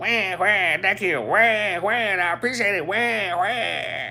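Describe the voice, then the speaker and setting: Using a put-on character voice, a man speaks at a high pitch and a fairly slow pace. Background noise is clearly audible. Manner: squawking.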